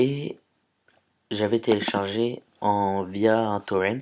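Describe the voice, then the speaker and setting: A man's voice, fairly low in pitch, with fairly even intonation. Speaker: YouTuber. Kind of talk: tutorial. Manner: hesitant.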